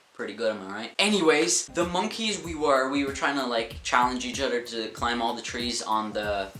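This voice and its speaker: Lively intonation from a man at a medium pitch, hardly any pauses, with audible room echo and noticeable background noise. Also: moderate pace. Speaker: vlogger. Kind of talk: storytime vlog. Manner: animated.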